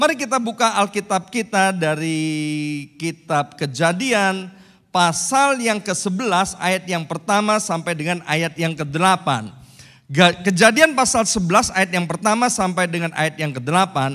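A man's high, raised and projected voice with a bright, sharp tone and lively intonation, at a moderate pace over a quiet background. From Indonesia. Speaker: pastor. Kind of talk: sermon. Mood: warm, joking at times. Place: church. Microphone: handheld.

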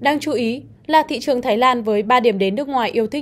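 On a very clean recording with a silent background, a woman speaks with a high pitch, ordinary pitch variation and a moderate pace. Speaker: news presenter. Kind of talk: news reading. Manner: formal.

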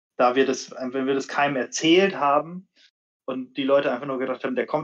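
Very fast male speech over a quiet background. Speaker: bike brand marketing manager. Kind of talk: casual live stream chat. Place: home room. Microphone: video call.

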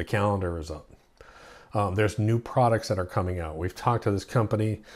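A man talks very fast in a fairly low pitch with ordinary pitch variation. His voice is somewhat breathy, and the background is quiet. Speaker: lawn care channel host. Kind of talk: casual vlog chat. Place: home room.

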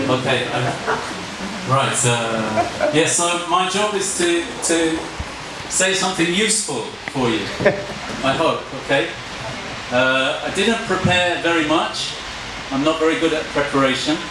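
A man speaks at a fairly slow pace, with long, frequent pauses. Audible room echo and noticeable background noise surround him. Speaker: guest lecturer. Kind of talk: lecture. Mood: relaxed, joking. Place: classroom.

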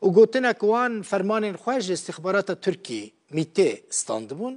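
Speaking with a Kurdish accent, a man uses a high pitch, ordinary pitch variation and a moderate pace against a quiet background. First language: Kurdish (speaking Arabic). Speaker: news presenter. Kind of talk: news reading.

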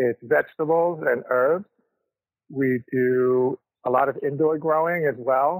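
In an unremarkable speaking voice, a man with a fairly high pitch talks at a fairly slow pace with fairly even intonation and very even loudness, the sound dry and close with no echo. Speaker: vegetable farmer. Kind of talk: interview. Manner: casual.

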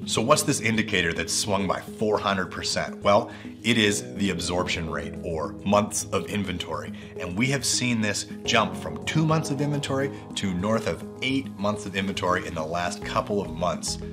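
A man keeps a moderate pace while clear music sounds behind him. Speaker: real estate agent. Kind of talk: real estate market update presentation to camera. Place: office.

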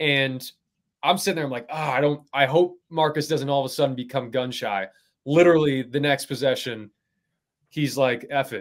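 In a quiet setting, a man with a fairly high pitch talks at a moderate pace with ordinary pitch variation. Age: 30s. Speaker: basketball analyst. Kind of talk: casual chat. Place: home room.

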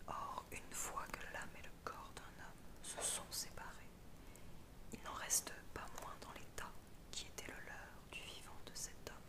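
Over loud background noise, a woman speaks at a very slow pace. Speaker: ASMR reader. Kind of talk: philosophy text reading.

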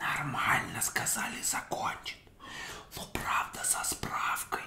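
A man talks very slowly while noticeable background noise carries on. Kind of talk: casual chat between friends over drinks, parody of ASMR. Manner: whispered.

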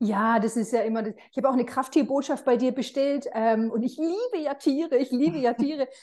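Her voice is high in pitch, with a dark, mellow tone and ordinary pitch variation. The woman keeps a moderate pace over a quiet background. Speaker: interviewer. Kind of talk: casual interview. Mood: warm, enthusiastic about animals. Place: home room. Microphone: video call.

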